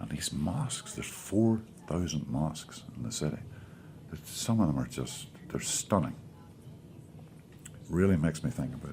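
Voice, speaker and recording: A man with a Northern Irish accent talks at a moderate pace in a very deep, low voice with a dark, mellow tone and vocal fry. His pitch swings very widely, and he takes long, frequent pauses. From Northern Ireland. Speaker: actor. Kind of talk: interview answer. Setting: studio.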